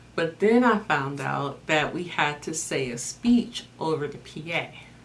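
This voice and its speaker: The speaker goes at a very slow pace with lively intonation. Noticeable background noise is present. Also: woman. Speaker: life coach. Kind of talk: personal testimony talk.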